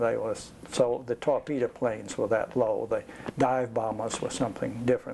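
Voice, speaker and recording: Noticeable background noise sits behind this voice. The speaker is a man with an American accent. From US South. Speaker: war veteran. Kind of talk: oral history interview. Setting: home. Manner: halting.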